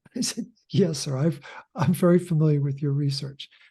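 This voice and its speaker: A man speaks with a dark, mellow tone. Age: 70s. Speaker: author and health educator. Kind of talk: interview.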